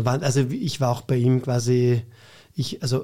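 A man's medium-pitched, somewhat breathy voice of dark, mellow tone on a very clean recording with a silent background. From Vienna, Austria (Floridsdorf). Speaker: cabaret artist and teacher. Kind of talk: casual interview chat.

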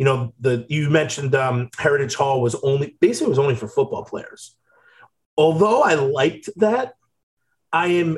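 A man's fairly high-pitched voice, somewhat breathy throughout. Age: 30s. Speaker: podcast co-host, former college football player. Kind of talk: casual chat.

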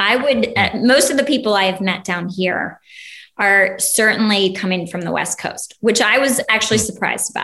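Speaking at a moderate pace, a woman uses a fairly high pitch, ordinary pitch variation and a bright, sharp tone. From Ohio. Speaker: recent transplant to Texas. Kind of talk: interview.

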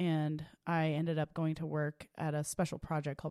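A woman with an American accent speaks in a very deep, low voice with monotone, flat intonation. The recording is very clean with a silent background and a dry, close sound with no echo. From Oklahoma, Tulsa. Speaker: attorney. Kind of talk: interview.

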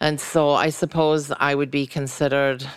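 With an American accent, a woman talks at a very deep, low pitch on a very clean recording with a silent background. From Scotland, Glasgow. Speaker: entrepreneur and radio host. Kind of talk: interview.

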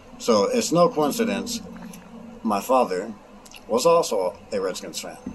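A man talks at a fairly slow pace, his loudness swinging a lot. Noticeable background noise sits behind him. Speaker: sports fan. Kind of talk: recorded fan testimony.

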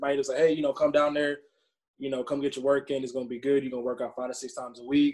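A man's fairly high voice with an Atlanta accent. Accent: US South (Atlanta). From Atlanta, Georgia. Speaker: minor league baseball player. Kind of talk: podcast interview.

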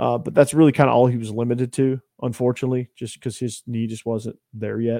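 A man's medium-pitched, dark, mellow voice in a Southern US accent, very fast and with hardly any pauses, with monotone, flat intonation and a dry, close sound with no echo. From Georgia. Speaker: college football podcast host, guest. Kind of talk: casual chat. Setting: remote podcast call.

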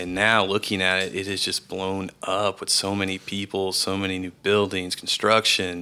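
At a moderate pace with hardly any pauses, a man with an American accent speaks in a very deep, low pitch, with monotone, flat intonation and a bright, sharp tone. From Texas, Round Rock near Austin. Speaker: former college football player. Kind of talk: casual chat.

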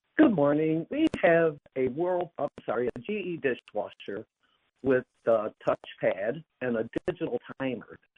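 With an American accent, a man uses a normal speaking voice at fairly high pitch, a fairly slow pace, and lively intonation. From New York State. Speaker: caller. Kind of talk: radio call-in question. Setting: phone call.

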